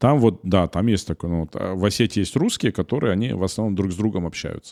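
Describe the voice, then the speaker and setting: A man with a slight Ossetian accent talks very fast in a fairly low voice with a dark, mellow tone and ordinary pitch variation, on a very clean recording with a silent background. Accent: slight Ossetian-tinged accent in Russian. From North Ossetia, Beslan. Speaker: media company director, podcast co-host. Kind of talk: casual podcast conversation. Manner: hesitant, many fillers.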